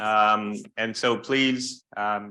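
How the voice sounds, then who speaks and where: This man's voice has a bright, sharp tone. He keeps his intonation fairly even. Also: quiet background. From Canada, Vancouver. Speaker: workshop moderator. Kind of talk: opening remarks at a conference. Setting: conference room with audience, using microphone.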